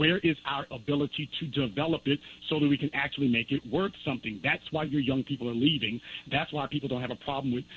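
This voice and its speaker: A man talks with a fairly high pitch. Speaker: documentary filmmaker. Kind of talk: call-in radio interview. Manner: fast.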